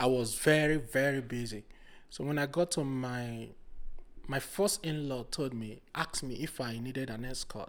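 Speaking with a Nigerian accent, a man talks at a moderate pace and medium pitch with ordinary pitch variation. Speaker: podcast guest, project manager. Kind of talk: casual interview.

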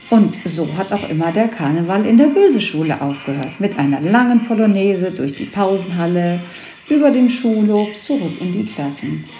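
A woman speaks at a moderate pace with lively intonation and a medium pitch. Music plays in the background, and there is audible room echo. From Hesse, Germany. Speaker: teacher. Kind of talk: school podcast chat.

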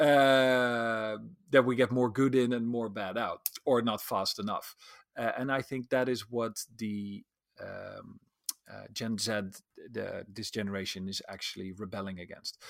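A man speaks in a normal speaking voice at medium pitch with fairly even intonation. His loudness swings widely, in a very clean recording with a silent background. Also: fairly slow pace. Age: 40s. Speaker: social psychologist and futurist. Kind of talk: interview.

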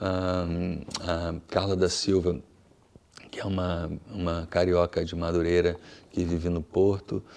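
Here a man speaks in a very deep, low voice. His pace is fairly slow. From Brasília, Brazil. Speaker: musician. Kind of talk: interview. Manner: halting, many fillers.

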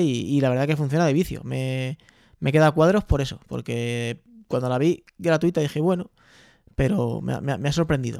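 This man talks at a fairly quick pace with a fairly high pitch and ordinary pitch variation. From Spain, Albacete. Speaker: podcaster. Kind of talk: casual chat. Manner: fast.

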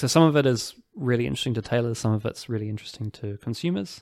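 A man with a New Zealand accent talks at a fairly quick pace. His pitch is medium, with ordinary variation. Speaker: tailor and store manager. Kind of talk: casual interview conversation. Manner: hesitant, self-conscious.

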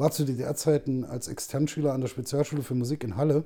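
Dark and mellow, a man's voice holds a medium pitch at a moderate pace. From Saxony-Anhalt, eastern Germany (Zeitz). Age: 40s. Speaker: actor. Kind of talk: casual chat.

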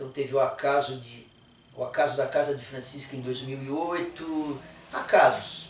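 A man with fairly high pitch and monotone, flat intonation talks at a fairly slow pace, with big swings in loudness and audible room echo. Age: 60s. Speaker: musician. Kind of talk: casual chat. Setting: studio.

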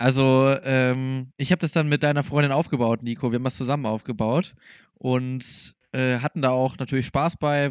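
A man talks in an unremarkable speaking voice at a medium pitch. His pace is moderate and his intonation fairly even. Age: 20s. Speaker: podcast co-host, former flatmate. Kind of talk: casual chat.

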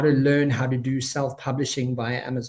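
A somewhat breathy man delivers his words at a moderate speed. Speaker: podcast host and coach. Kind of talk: interview.

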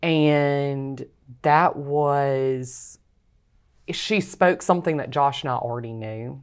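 Speaking at a very slow pace with a Louisiana accent, a woman has a very deep, low pitch, ordinary pitch variation and big swings in loudness on a very clean recording with a silent background. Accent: US Southern (Louisiana). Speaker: author. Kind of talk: interview testimony.

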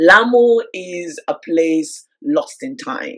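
A woman with a London accent speaks with very wide pitch swings. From London, UK (born in Nigeria). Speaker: travel magazine co-founder. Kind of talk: interview.

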